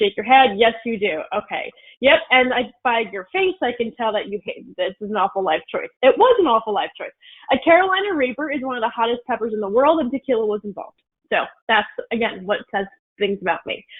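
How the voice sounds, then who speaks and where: A woman with a fairly high pitch talks at a fairly quick pace in an animated tone. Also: lively intonation. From North Jersey, US. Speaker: networking speaker. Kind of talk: presentation. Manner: fast.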